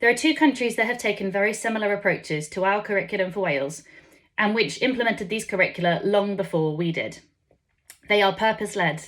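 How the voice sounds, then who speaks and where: The speech comes very fast in an English accent, with ordinary pitch variation. Room echo is audible. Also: woman, medium pitch for a woman. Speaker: education policy speaker. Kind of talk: conference speech read from script. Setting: conference stage with audience. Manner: formal.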